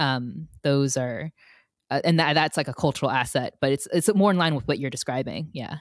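A woman with an American accent, a very deep, low pitch and a moderate pace, on a very clean recording with a silent background. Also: ordinary pitch variation, dry, close sound with no echo. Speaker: podcast co-host. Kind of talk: casual chat.

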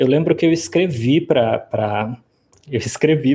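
This man has a normal speaking voice, pitched fairly high with ordinary variation. He talks at a fairly slow pace. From Brazil, Rio Grande do Sul (Rio Grande). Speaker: professor of classics. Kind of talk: interview.

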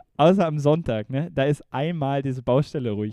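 A man's medium-pitched voice, dark and mellow in tone, with ordinary pitch variation and a dry, close sound free of echo. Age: 20s. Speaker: podcast co-host. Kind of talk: casual chat. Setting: video call.

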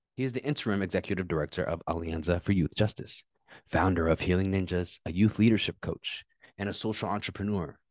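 Against a quiet background, a man with a very deep, low voice talks at a fairly quick pace, the sound dry and close with no echo. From Ethiopia, raised in US from age three. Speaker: podcast host. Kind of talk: interview.

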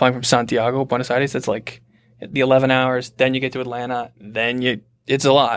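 A man with an American accent, monotone and flat, at a moderate pace, on a very clean recording with a silent background. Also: medium pitch for a man. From US Midwest, southeast Michigan. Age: 20s. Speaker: journalist. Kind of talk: casual chat.

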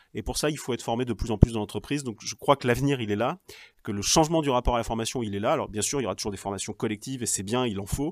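Over a very clean recording with a silent background, a man talks at a very fast pace, his medium pitch showing ordinary variation. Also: dry, close sound with no echo. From Normandy (Cherbourg, Cotentin). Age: 40s. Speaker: regional politician. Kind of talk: interview.

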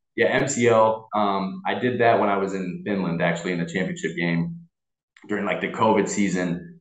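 The speaker has an American accent and a moderate pace, with fairly even intonation. There is audible room echo in the recording. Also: man, fairly low pitch for a man. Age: 20s. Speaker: American football player. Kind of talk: casual chat.

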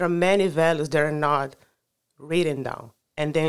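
A woman's flat, monotone voice in a Brazilian accent, on a very clean recording with a silent background. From Brazil, Rio de Janeiro. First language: Portuguese. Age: 30s. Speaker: climate advocate. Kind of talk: casual interview. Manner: halting.

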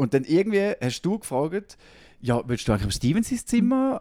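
A man speaks at a moderate pace in a high voice with a dark, mellow tone and very wide pitch swings. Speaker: podcast host. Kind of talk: casual chat.

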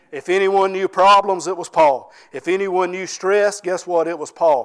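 Speaking at a moderate pace, a man with a Southern US accent has a high pitch. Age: 40s. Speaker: pastor. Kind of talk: sermon.

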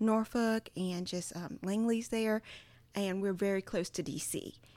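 Speaking with a Southern US accent, a woman talks at a moderate pace with fairly even intonation in a very clean recording with a silent background. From Virginia (Charles City County). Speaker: creative and church worship artist. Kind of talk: casual chat.

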